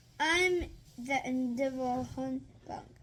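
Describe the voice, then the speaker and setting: Putting on a high-pitched character voice, a woman talks at a fairly slow pace. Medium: read story.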